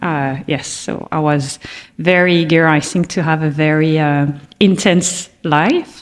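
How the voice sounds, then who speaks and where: Noticeable background noise runs under this clip. A woman with a fairly low pitch speaks at a fairly slow pace. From France. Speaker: corporate learning executive. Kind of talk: interview.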